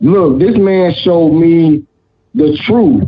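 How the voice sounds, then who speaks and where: With an animated tone and lively intonation, a man speaks at a fairly high pitch. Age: 30s. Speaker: talk show panelist. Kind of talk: heated debate.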